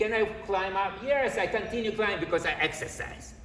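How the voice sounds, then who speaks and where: Noticeable background noise and audible room echo come through. The delivery keeps a moderate pace. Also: man. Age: 70s. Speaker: mortgage broker. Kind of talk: presentation to real estate agents. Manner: animated.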